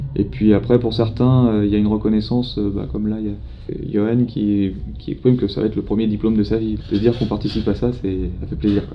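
Here a man speaks at a very fast pace. His pitch is fairly low, with ordinary variation. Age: 40s. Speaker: firefighter and first-aid trainer. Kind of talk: interview. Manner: halting.

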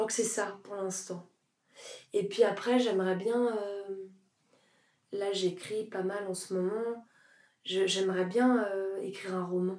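The delivery is monotone and flat at a very slow pace. Long pauses come often. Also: woman, medium pitch for a woman. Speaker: actress and singer. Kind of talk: interview. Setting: garden at her home. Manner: loud.

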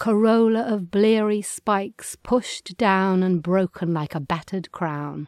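In an English accent, a woman talks at a very slow pace and medium pitch with ordinary pitch variation, in a very clean recording with a silent background and a dry, close sound with no echo. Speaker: podcast host reading poetry. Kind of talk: reading aloud.

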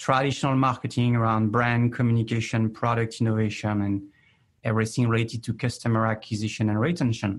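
A man with a French accent at medium pitch and a fairly quick pace over a quiet background. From France. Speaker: chief marketing officer. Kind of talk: interview.

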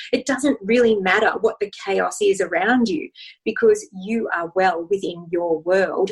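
Speaking fairly slowly with a somewhat breathy, fairly high voice, a woman with an Australian accent uses lively intonation. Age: 40s. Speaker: wellness and relationship expert. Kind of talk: interview.

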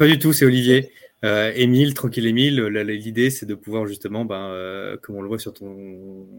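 On a very clean recording with a silent background, a man with a plain, everyday voice speaks fairly low with fairly even intonation. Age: 30s. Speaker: clothing brand co-founder, entrepreneur. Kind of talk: podcast interview.

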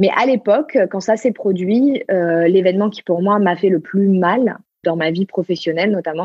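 The speaker is a woman with a medium-pitched voice. Her pitch varies in an ordinary way, and her pace is moderate. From Marseille, southern France. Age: 30s. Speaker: human design coach. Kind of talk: interview conversation. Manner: hesitant, repeats words.

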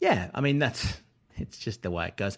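A man's fairly low, lively voice with an Australian accent at a fairly quick pace, in a very clean recording with a silent background. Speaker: writer and former radio presenter.

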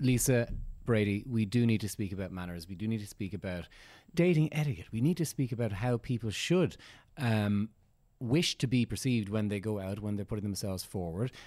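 Here a man talks at a fairly quick pace, his fairly low voice dark and mellow in tone. His intonation is lively, and the recording is very clean with a silent background. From Dublin, Ireland. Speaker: dating agency owner, podcast co-host. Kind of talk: casual chat.

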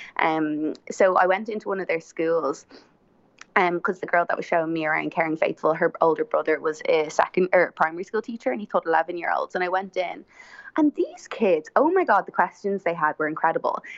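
With an Irish accent, a woman talks at a fairly quick pace, her pitch fairly low with ordinary variation. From Ireland. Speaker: podcast guest. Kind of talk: casual chat. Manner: talkative.

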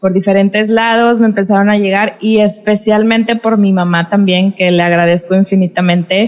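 With hardly any pauses, a woman of medium pitch delivers her words in a monotone, flat intonation at very even loudness. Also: moderate pace. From Mexico, Monterrey, Nuevo León. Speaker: podcast host and dance teacher. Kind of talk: casual interview conversation. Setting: video call.

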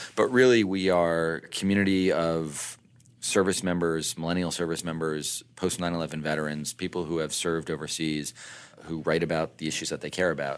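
Delivered at a fairly quick pace with fairly even intonation, the speech comes through on a very clean recording with a silent background. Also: man, very deep, low pitch for a man. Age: 30s. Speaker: military veteran and company CEO. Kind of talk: interview.

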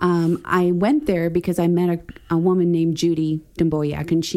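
With an American accent, a woman speaks at a fairly quick pace in a dark, mellow tone at a fairly low pitch. Her intonation is monotone and flat, and her loudness stays very even. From Wisconsin, US. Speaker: church member interviewee. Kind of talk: casual interview chat.

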